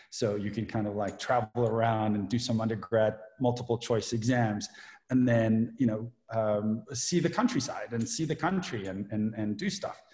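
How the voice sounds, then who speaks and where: Speaking with ordinary pitch variation, the voice sounds somewhat breathy. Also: man, medium pitch for a man, moderate pace. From South Africa. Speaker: privacy lawyer. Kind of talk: casual chat.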